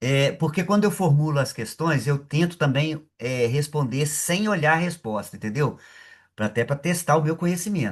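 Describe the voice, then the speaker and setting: A man with a fairly high pitch sounds somewhat breathy against a quiet background. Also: ordinary pitch variation, moderate pace. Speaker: accounting professor. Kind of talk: lecture.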